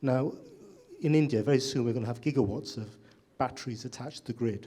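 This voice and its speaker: This man's voice has a dark, mellow tone and is somewhat breathy. He talks at a very fast pace with ordinary pitch variation. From UK. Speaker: audience member asking a question. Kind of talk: audience question at panel discussion.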